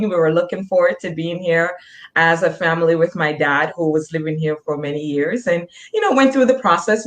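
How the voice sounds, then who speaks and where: Speaking at a moderate pace, a woman with a Jamaican accent has a fairly low pitch. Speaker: nurse practitioner. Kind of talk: interview.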